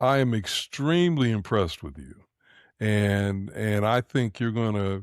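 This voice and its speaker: On a very clean recording with a silent background, a man with a fairly low voice speaks fairly slowly with lively intonation in an unremarkable speaking voice, dry and close with no echo. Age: 60s. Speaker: podcast co-host. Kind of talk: interview.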